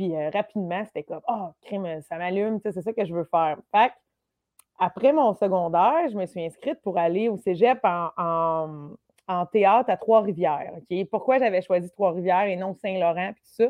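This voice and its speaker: Speaking at a moderate pace, a woman has a plain, everyday voice at a medium pitch with ordinary pitch variation. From Quebec, Lanaudière countryside. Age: 30s. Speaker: comedian. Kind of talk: casual chat.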